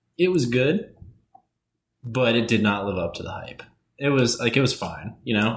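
A man's speech moves at a moderate pace, and room echo is audible around it. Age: 20s. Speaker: podcast co-host. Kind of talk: casual chat.

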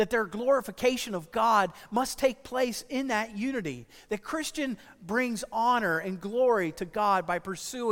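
Straightforward read-aloud delivery, pitch moving in an ordinary way.

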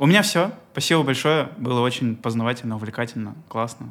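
A man talks in an unremarkable speaking voice. His pitch is medium, with ordinary variation. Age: 20s. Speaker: airline pilot and podcast host. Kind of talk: casual interview chat.

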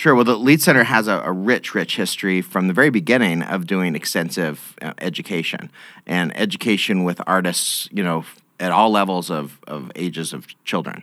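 A man with an American accent speaks at a moderate pace, his very deep, low pitch carrying a bright, sharp tone. The recording is very clean, with a silent background. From Idaho, Boise area. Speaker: performing arts center director. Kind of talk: interview. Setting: studio. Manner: halting.

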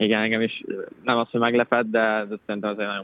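Monotone, flat intonation from a man at a fairly low pitch. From Hungary, Szombathely. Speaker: professional footballer. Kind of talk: casual interview.

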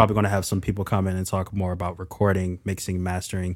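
On a very clean recording with a silent background, a man with a very deep, low pitch and an American accent talks very fast in a monotone, flat intonation. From Philadelphia, US. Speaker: music brand strategist. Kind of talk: casual interview chat.

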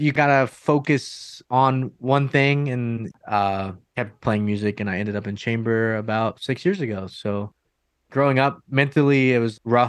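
A man's unremarkable speaking voice at a medium pitch, fairly slow pace and ordinary pitch variation, over a quiet background. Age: 20s. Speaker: metal band vocalist. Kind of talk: interview.

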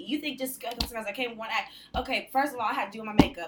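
A woman at a very fast pace, ordinary pitch variation, noticeable background noise. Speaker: sex worker and burlesque performer. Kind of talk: casual chat. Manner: soft-spoken. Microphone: too far from the mic.

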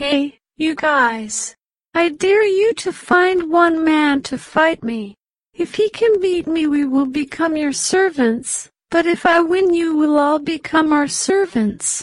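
A woman shouts in a put-on character voice at an extremely high pitch, taking a fairly slow pace. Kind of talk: storybook. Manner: shouting, taunting.

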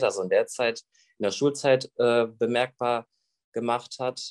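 The sound is dry and close with no echo as a man speaks at a medium pitch and a fairly slow pace. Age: 20s. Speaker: YouTuber with Tourette syndrome. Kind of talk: interview.

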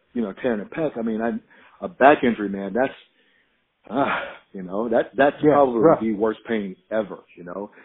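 A plain, everyday voice with fairly even intonation at a fairly quick pace. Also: man. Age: 40s. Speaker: strength and conditioning coach. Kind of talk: casual chat.

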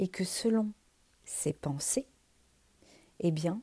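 A woman's somewhat breathy voice with a dark, mellow tone, medium pitch and ordinary pitch variation. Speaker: podcast host, wellbeing coach. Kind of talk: solo podcast talk. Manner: hesitant, many fillers.

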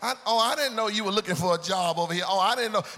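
Over noticeable background noise, a man speaks very fast in a raised, projected voice with an animated tone. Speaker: preacher. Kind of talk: sermon. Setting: church. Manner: call-and-response.

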